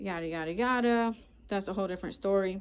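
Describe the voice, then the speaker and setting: A fairly quick pace with ordinary pitch variation. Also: woman. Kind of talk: casual vlog chat. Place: shop. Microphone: phone near.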